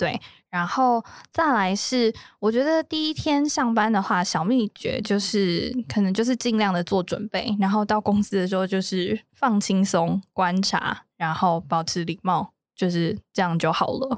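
A woman with an ordinary speaking voice and medium pitch talks at a fairly slow pace, with lively intonation, very even loudness and a dry, close sound with no echo. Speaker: business development rep. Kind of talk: casual chat.

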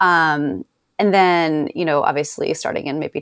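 In an American accent, a woman speaks at a moderate pace in a dry, close sound with no echo, on a very clean recording against a silent background. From rural upstate New York. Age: 30s. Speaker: journalist and podcast co-host. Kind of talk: casual interview conversation.

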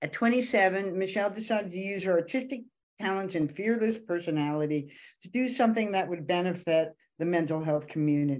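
A woman speaks at a moderate pace and medium pitch with lively intonation. It is an ordinary speaking voice. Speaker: podcast co-host, mother. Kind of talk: casual interview chat.

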